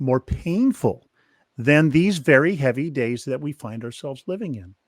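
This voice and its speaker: In a normal speaking voice pitched fairly high, a man talks at a moderate pace with lively intonation and big swings in loudness, on a very clean recording with a silent background and a dry, close sound with no echo. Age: 60s. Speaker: author and ministry consultant. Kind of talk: interview conversation.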